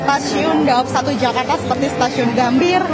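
Music plays behind the voice. The words come at a fairly quick pace. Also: woman. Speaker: field news reporter. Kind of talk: live news report. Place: station. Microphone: handheld.

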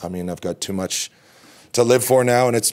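His intonation stays fairly even as the man speaks. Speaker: lacrosse coach. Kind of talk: interview answer. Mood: reflective, calm. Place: hall. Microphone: podium.

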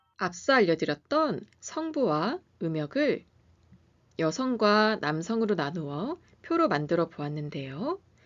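Her pitch swings very widely as the woman talks at a very slow speed. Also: medium pitch for a woman. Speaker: pianist and music educator. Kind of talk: lecture. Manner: formal.

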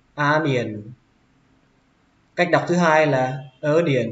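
A man with a northern Vietnamese accent speaks at a very slow pace and medium pitch. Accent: northern Vietnamese (Hanoi). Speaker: English teacher. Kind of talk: English vocabulary lesson.

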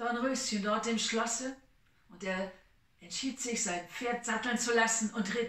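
Someone reads aloud in a natural voice, the intonation staying fairly even.

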